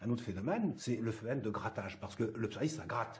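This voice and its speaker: A man talks at a very fast pace in a medium pitch, his dark, mellow tone somewhat breathy. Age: 60s. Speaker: psoriasis patient, former sales rep. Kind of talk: testimony. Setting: patient support group meeting.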